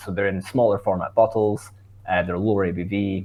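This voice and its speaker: A man speaks with a Scottish accent. His pitch sits fairly low. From Scotland. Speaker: brewer. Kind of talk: podcast interview. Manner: casual, with many fillers.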